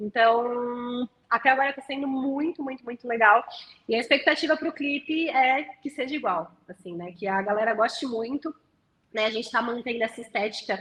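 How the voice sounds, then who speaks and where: A woman's high pitch with ordinary variation, at a moderate pace, with big swings in loudness. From Santo André, São Paulo state, Brazil. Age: 20s. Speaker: singer-songwriter. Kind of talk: interview answer.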